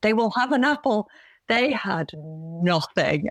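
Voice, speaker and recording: A woman with a Yorkshire accent at a moderate pace, in a very clean recording with a silent background and a dry, close sound with no echo. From Yorkshire, Bradford. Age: 40s. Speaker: vegan runner and content creator. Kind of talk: podcast interview.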